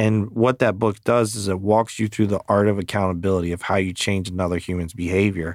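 A man with an ordinary speaking voice and an American accent, fairly low-pitched, at a fairly quick pace with fairly even intonation, on a very clean recording with a silent background. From Maryland, US. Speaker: podcast host and real estate team leader. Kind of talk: casual chat.

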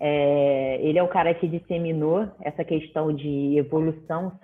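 A woman with a normal speaking voice and a fairly low pitch talks at a fairly slow pace. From Rio de Janeiro, Brazil. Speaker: physical education professional. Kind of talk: casual chat.

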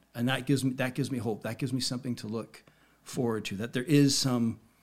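A man's medium-pitched, unremarkable speaking voice with fairly even intonation. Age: 50s. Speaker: hypnotist and magician. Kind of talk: casual chat.

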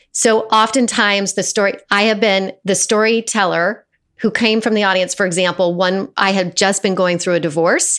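A woman with an American accent and an ordinary speaking voice talks at a moderate pace with medium pitch and fairly even intonation. Her loudness stays very even, with hardly any pauses. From Colorado, US. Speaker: actor and storyteller. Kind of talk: casual interview. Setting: video call.

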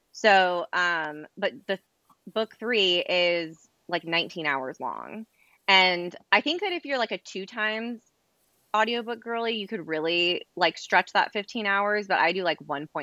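A woman with a plain, everyday voice at a medium pitch, lively intonation and a fairly slow pace. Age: 30s. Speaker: podcast co-host. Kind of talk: casual chat.

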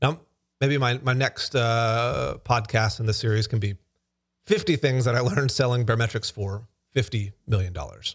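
In an American accent, a somewhat breathy man talks at a moderate pace with a medium pitch and ordinary pitch variation. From US South, Alabama. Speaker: podcast host, startup founder. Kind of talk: solo talk on business lessons. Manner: casual, with fillers and restarts.

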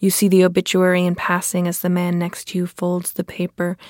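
In a very clean recording with a silent background, a woman with a fairly low pitch speaks at a moderate pace, the sound dry and close with no echo. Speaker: poet. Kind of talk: poetry reading, reading own poem aloud. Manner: measured, halting, repetitive phrasing; contemplative, reflective.

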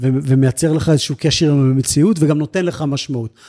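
A somewhat breathy man with a fairly high pitch talks at a moderate pace on a very clean recording with a silent background. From Israel, grew up on a kibbutz. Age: 40s. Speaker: senior civil servant for elderly services. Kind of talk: interview.

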